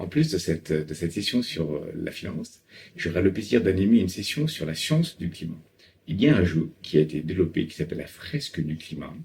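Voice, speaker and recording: A man's very deep, low voice, fairly quick and somewhat breathy, with ordinary pitch variation and big swings in loudness. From Paris, France. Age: 40s. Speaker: climate finance consultant. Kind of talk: interview monologue. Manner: hesitant with frequent fillers.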